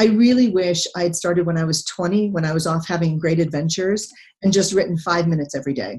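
A woman's somewhat breathy, fairly low-pitched voice at a very fast pace. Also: ordinary pitch variation. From Texas. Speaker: retired naval officer and economics professor. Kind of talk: interview.

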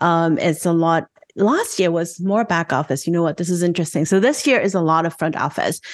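In an unremarkable speaking voice, a woman talks at a moderate pace with a fairly low pitch and ordinary pitch variation. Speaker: fintech founder and podcast host. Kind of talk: panel discussion.

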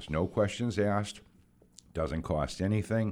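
A man's very deep, low voice with a New England accent, fairly quick pace and ordinary pitch variation, on a very clean recording with a silent background. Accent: New England American. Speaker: community volunteer. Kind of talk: casual chat.

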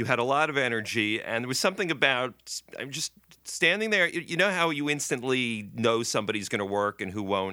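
A man with a plain, everyday voice speaks at a fairly quick pace and a medium pitch, with lively intonation and hardly any pauses. The recording is very clean, with a silent background. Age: 60s. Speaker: TV writer and producer. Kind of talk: casual interview chat.

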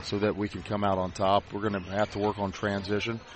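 Music plays behind a man speaking at a moderate pace. His pitch is fairly low. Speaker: high school basketball head coach. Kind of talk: casual pregame interview.

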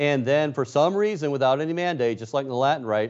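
A man speaks at a medium pitch with a normal speaking voice. His pace is fairly quick and his intonation lively. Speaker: news correspondent. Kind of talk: casual radio chat.

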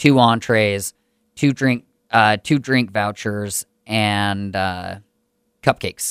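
This is a man with a normal speaking voice, fairly low in pitch. His pitch varies in an ordinary way on a very clean recording with a silent background. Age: 30s. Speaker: podcast host and comedy show organizer. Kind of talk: casual chat. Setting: studio.

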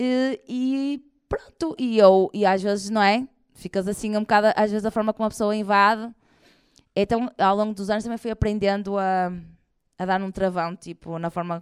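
A woman at medium pitch talks at a moderate pace in a very clean recording with a silent background and a dry, close sound with no echo. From northern Portugal, Porto area. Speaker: comedian. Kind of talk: live interview before audience. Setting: stage with audience. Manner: animated.

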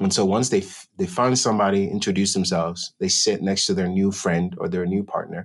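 Against a quiet background, a man with an unremarkable speaking voice talks at a fairly quick pace with hardly any pauses, fairly low pitch and fairly even intonation. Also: very even loudness. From born in Ghana, raised in Denver, Colorado. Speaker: musician and songwriter. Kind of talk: casual interview chat.

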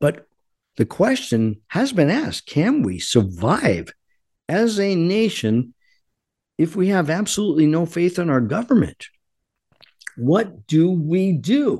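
With a quiet background, a man speaks very slowly in a high pitch, swinging very widely in pitch while keeping his loudness very even and leaving long, frequent pauses. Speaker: radio host. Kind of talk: angry political rant. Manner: angry, fervent, loud; urgent, impassioned, preaching.

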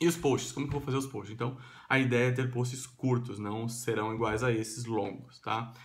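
A man speaks at medium pitch and a moderate pace, somewhat breathy. His intonation is fairly even, and room echo can be heard. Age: 30s. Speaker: vlogger. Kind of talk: vlog monologue. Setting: at home. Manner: casual with fillers.

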